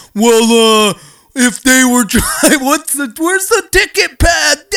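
Using a put-on character voice, a man talks very slowly in an extremely high pitch, his voice raised and projected. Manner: dopey, dim-witted.

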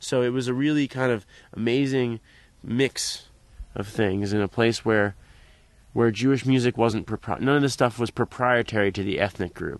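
In a quiet background, a man with an American accent and a normal speaking voice talks at medium pitch, moderate pace and fairly even intonation. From US, Philadelphia area. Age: 20s. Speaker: klezmer trombonist. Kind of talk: interview. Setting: on location at a music camp.

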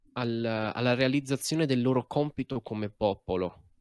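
A man's medium-pitched voice with ordinary pitch variation, dry and close with no echo, in a very clean recording against a silent background. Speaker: game master. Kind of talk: tabletop role-play narration.

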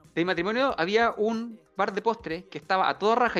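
With music in the background, a man talks in a Chilean accent. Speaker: podcast co-host. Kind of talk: casual chat. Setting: live stream. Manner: loud.

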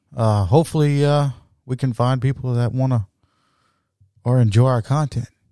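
This man talks at a moderate pace in a South Louisiana accent, his medium-pitched voice dark and mellow. His intonation stays fairly even, broken by long, frequent pauses. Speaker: podcast host. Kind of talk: casual chat. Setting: home studio.

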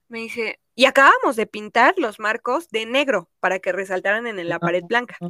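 Bright and sharp in tone, this woman's fairly high voice moves at a moderate pace with lively intonation and hardly any pauses, in a dry, close sound with no echo. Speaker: podcast host. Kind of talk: casual chat.

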